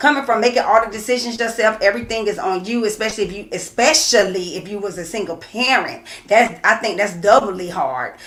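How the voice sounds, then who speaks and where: A woman's shouting, with big swings in loudness, hardly any pauses, and noticeable background noise. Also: fairly high pitch for a woman, lively intonation, fairly quick pace. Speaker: co-host of a couples talk show. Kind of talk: casual livestream chat. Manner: loud, screams from working with children.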